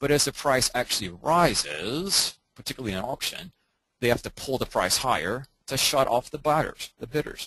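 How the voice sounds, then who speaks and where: At a moderate pace, a man with medium pitch and lively intonation speaks in an ordinary speaking voice. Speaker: trading coach. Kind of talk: webinar lecture. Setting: online webinar.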